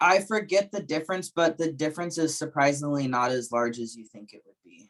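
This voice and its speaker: Using an ordinary speaking voice, a man speaks fairly quickly at a fairly high pitch, with lively intonation and big swings in loudness. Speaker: sales trainer presenting to colleagues. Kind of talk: training presentation.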